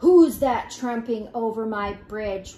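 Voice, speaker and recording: Putting on a character voice, a woman bellows loudly and gruffly in a fairly high pitch at a fairly slow pace. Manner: roaring, gruff.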